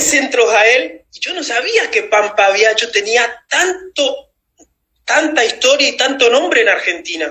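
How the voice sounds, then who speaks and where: A man talking at a fairly slow pace. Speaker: former footballer. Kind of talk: interview. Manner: animated.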